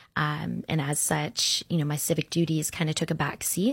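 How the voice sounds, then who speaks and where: A woman speaks with vocal fry. Her intonation is monotone and flat. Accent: American. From Orlando, Florida. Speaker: local election candidate. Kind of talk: interview. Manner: hesitant with frequent fillers.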